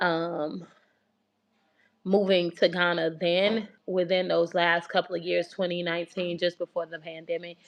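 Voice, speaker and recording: Over a quiet background, a woman with an American accent speaks at a fairly low pitch in a monotone, flat intonation. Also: fairly slow pace. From US South, Atlanta. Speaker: relocation coach and channel host. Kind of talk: casual livestream talk.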